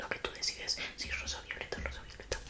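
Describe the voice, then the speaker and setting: Whispering in a playful tone at a fairly quick pace, a woman is heard over noticeable background noise. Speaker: ASMR content creator. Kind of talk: ASMR roleplay, casual talk to camera. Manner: playful, chatty, soft-spoken.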